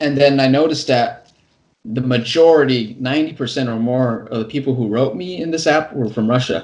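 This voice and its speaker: Here a man talks at a fairly quick pace. His pitch is medium, with ordinary pitch variation. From California, US. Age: 20s. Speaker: construction worker and English teacher on YouTube. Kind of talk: casual interview. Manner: fast with frequent repetitions and restarts.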